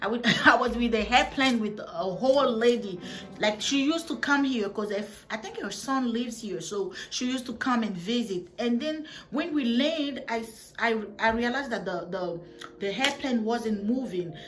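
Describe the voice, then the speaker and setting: A woman with a West African accent speaks at a moderate pace in a fairly high voice, with audible room echo and noticeable background noise. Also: ordinary pitch variation. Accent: francophone West African. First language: French. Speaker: vlogger. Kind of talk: storytime vlog. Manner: halting, with many restarts; casual.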